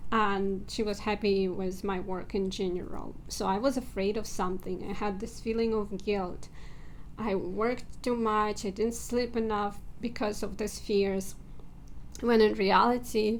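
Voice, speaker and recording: In a non-native accent, a woman speaks at a fairly slow pace and medium pitch, her intonation monotone and flat, with audible room echo. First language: not English. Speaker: self-help video creator. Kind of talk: personal vlog talk. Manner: hesitant, with filler words.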